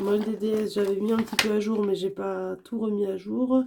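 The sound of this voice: This woman's voice sits at a medium pitch with a dark, mellow tone and some vocal fry, moving at a moderate pace with fairly even intonation.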